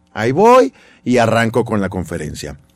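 Speaking at a moderate pace, a man with a fairly low pitch uses an ordinary speaking voice. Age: 40s. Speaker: radio host and motivational speaker. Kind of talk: casual interview.

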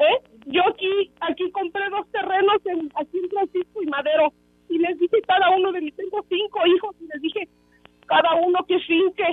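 A woman's extremely high-pitched voice at a moderate pace, with fairly even intonation. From Mexico, Tehuacán (Puebla). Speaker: caller. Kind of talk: radio call-in.

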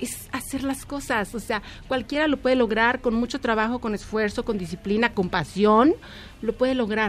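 Using a plain, everyday voice, a woman speaks at a fairly high pitch with ordinary pitch variation. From Mexico. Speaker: fashion designer. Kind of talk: interview.

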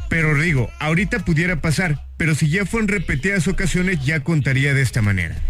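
Against noticeable background noise, a man with a fairly high pitch speaks fairly quickly with lively intonation and very even loudness. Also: hardly any pauses. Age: 30s. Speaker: radio host. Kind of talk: casual radio chat.

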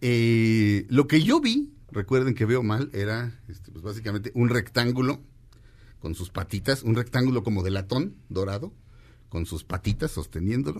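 An animated male voice at a medium pitch and a moderate pace, with ordinary pitch variation. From Mexico. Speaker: radio host. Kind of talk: casual chat.

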